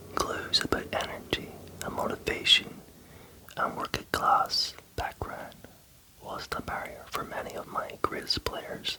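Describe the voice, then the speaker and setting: Whispering at a fairly slow pace with long, frequent pauses, the voice comes through noticeable background noise. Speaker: ASMR creator. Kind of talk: ASMR book reading. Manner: whispered.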